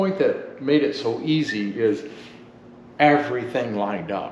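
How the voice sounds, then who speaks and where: With noticeable background noise and audible room echo, a man talks in a fairly high pitch with lively intonation. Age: 60s. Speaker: home builder. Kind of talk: casual interview.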